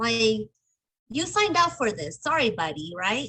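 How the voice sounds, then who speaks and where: Her voice raised and projected, a woman speaks with very wide swings in pitch. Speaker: restoration business owner. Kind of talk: casual interview chat. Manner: blunt, straightforward.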